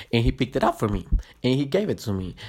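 A man with a Spanish accent at a very fast pace, on a very clean recording with a silent background. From Guatemala. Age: 20s. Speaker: podcast host. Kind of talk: casual monologue. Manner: halting, many fillers and restarts.

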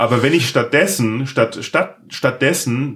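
Here a man has a plain, everyday voice. He keeps a moderate pace and ordinary pitch variation. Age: 40s. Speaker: podcast host. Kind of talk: casual interview chat. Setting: home office.

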